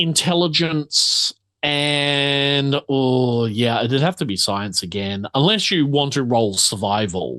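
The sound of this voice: A man's slow-paced delivery at medium pitch, with a fairly bright tone. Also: lively intonation.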